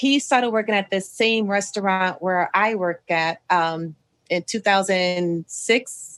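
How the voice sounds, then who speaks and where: A woman speaks at a very slow pace with medium pitch and ordinary pitch variation on a very clean recording with a silent background. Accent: American. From Ohio, US Midwest. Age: 40s. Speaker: podcast host, restaurant manager. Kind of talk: casual interview chat. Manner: conversational, frequent fillers.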